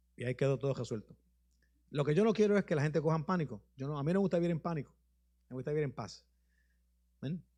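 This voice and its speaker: Against a quiet background, a man with a fairly high, dark and mellow, somewhat breathy voice talks at a very fast pace with lively intonation and long, frequent pauses. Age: 60s. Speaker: bishop. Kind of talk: sermon with questions and answers. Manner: informal, conversational.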